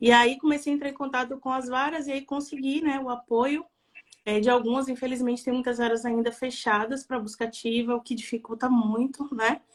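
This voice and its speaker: Speaking at a moderate pace with a Bahian accent, the voice stays monotone with flat intonation. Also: woman. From Bahia, Brazil. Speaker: adoption volunteer and NGO founder. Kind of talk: live stream interview.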